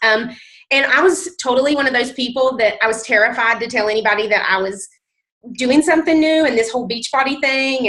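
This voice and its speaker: A woman talks at a fairly quick pace in a high pitch with a bright, sharp tone and ordinary pitch variation. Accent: strong Southern US. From US South, mountain North Carolina. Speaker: nurse and fitness coach. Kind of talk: testimony. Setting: conference call.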